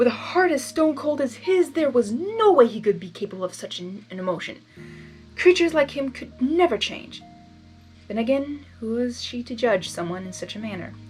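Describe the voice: A woman's fairly high voice, slightly mellow in tone, with lively intonation, a moderate pace and faint music in the background.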